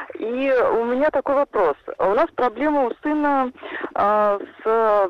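A woman's high voice rises and falls in very wide pitch swings. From Saransk, Russia. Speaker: caller, mother. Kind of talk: call-in question. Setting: phone call.

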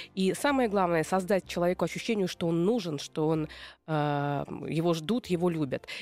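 At a moderate pace, a woman with an unremarkable speaking voice talks at a fairly low pitch, with ordinary pitch variation and very even loudness. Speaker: radio host and psychologist. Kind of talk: radio talk show with call-ins. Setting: radio studio. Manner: warm, upbeat.

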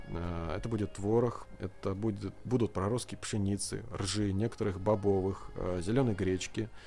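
A dark, mellow tone, somewhat breathy, moves along with hardly any pauses and fairly even intonation. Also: man, fairly low pitch for a man, moderate pace. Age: 30s. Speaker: farmer. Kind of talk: studio interview.

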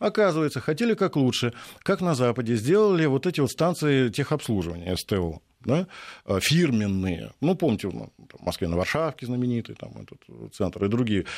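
The pitch swings very widely on a very clean recording with a silent background. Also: man, medium pitch for a man, moderate pace. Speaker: university lecturer, economist. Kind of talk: radio interview. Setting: studio.

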